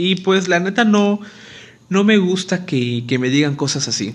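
This man talks fairly slowly. The rise and fall of his pitch is ordinary. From Mexico, Acapulco, Guerrero. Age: 20s. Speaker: dental student and podcaster. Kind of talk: casual monologue. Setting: alone at home.

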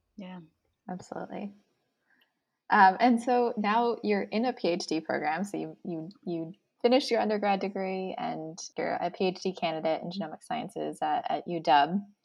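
A woman speaks at a moderate pace in an ordinary speaking voice, with medium pitch and ordinary pitch variation. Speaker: podcast co-host, genetic counselor. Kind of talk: casual interview chat.

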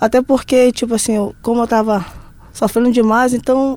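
Here is a woman with an unremarkable speaking voice. She talks at a moderate pace with a fairly high pitch. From Brazil, interior of Pará. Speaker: professional footballer. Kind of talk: casual interview chat. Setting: studio.

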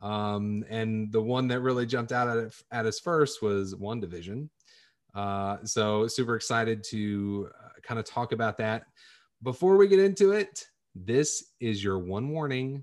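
This is a man with an ordinary speaking voice, medium in pitch and ordinary in pitch variation. He talks at a fairly slow pace over a quiet background. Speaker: podcast host. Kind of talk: casual chat.

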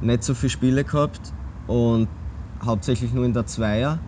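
A man at a medium pitch talks with lively intonation. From Austria, Graz. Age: 20s. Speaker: football goalkeeper. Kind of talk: casual interview.

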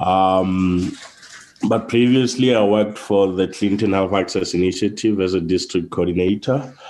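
Against noticeable background noise, a man with a very deep, low voice speaks at a moderate pace. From Lesotho. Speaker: consultant. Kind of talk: interview.

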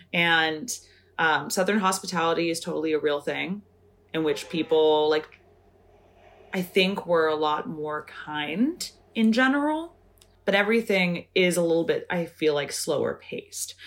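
Speaking with an American accent, a woman has an unremarkable speaking voice. Her pitch is fairly low with ordinary variation, and her pace is moderate. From Northern California. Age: 30s. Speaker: embroidery artist and optician. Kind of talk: casual interview chat.

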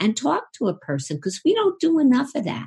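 Some breathiness runs through this voice. It belongs to a woman. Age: 60s. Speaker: psychotherapist and sex therapist. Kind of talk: interview.

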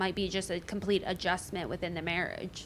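A woman with a plain, everyday voice and a medium pitch speaks at a moderate pace with fairly even intonation on a very clean recording with a silent background. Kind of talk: casual chat. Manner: casual, filler-heavy.

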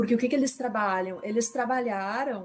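With ordinary pitch variation, a woman speaks at a fairly high pitch in an unremarkable speaking voice. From Brazil. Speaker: intellectual property and data protection consultant. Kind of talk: presentation with slides in a panel discussion.

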